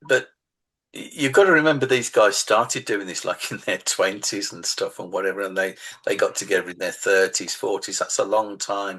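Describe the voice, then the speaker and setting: A man with a Birmingham accent at a moderate pace, big swings in loudness, quiet background. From England, Birmingham. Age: 60s. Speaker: author. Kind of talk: casual interview chat.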